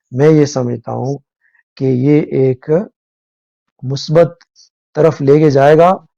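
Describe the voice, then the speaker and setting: Intonation holds fairly even throughout. The voice has a dark, mellow tone. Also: man. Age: 60s. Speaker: current affairs commentator. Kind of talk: live talk show discussion. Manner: halting, many fillers.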